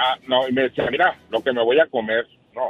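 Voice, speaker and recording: A man speaks at a medium pitch. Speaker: caller. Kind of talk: phone-in call. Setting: phone call on speakerphone. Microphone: speakerphone, hard to hear at first.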